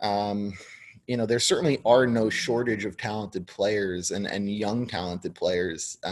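A man's ordinary speaking voice, fairly low-pitched, with an American accent, fairly even intonation and a fairly slow pace. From New York. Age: 30s. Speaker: sports business writer. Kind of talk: interview.

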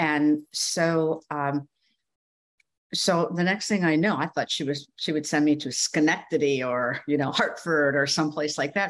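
With an American accent, a woman speaks fairly slowly in a very deep, low voice with ordinary pitch variation. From rural Minnesota, US Midwest. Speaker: former TV news anchor and communications coach. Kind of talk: interview, personal storytelling.

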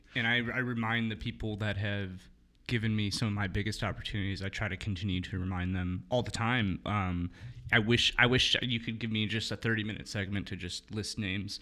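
A man's fairly low voice with an American accent, a normal speaking voice at a fairly quick pace, fairly even intonation, and a very clean recording with a silent background. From Milwaukee, Wisconsin, US. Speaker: photographer and director. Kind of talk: casual chat.

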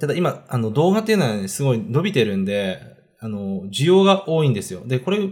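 This man's pitch swings very widely. He speaks at a fairly quick pace. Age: 30s. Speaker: online video entrepreneur. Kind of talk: casual self-introduction monologue. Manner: hesitant, many fillers.

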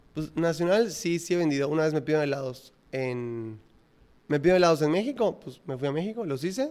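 Using a plain, everyday voice, a man speaks fairly quickly and with lively intonation. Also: fairly high pitch for a man. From Yucatán, Mexico (Mérida). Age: 20s. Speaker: ice cream entrepreneur. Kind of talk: casual interview.

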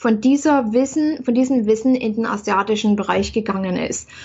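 Somewhat breathy, a woman's voice of fairly high pitch moves with ordinary pitch variation. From East Germany. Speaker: spiritual coach and author. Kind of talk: interview. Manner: halting, frequent fillers.

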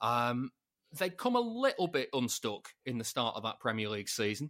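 A man talks in an unremarkable speaking voice at medium pitch with ordinary pitch variation and a moderate pace, the sound dry and close with no echo. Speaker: football podcaster, City fan. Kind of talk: casual chat. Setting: video call.

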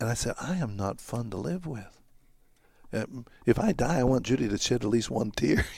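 A man speaks with vocal fry. His pace is moderate. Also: medium pitch for a man, lively intonation. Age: 70s. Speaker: retired pastor. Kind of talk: interview. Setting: church.

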